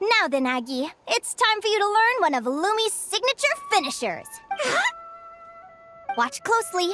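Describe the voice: Over faint music in the background, a woman performs a put-on character voice at an extremely high pitch, moving at a moderate pace with big pitch swings and a bright, sharp tone.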